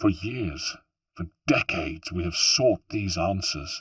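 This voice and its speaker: A gruff, put-on character voice from a man, very deep and low in pitch, comes across with a dry, close sound and no echo. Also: fairly slow pace, ordinary pitch variation. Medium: read story. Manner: gruff, blunt.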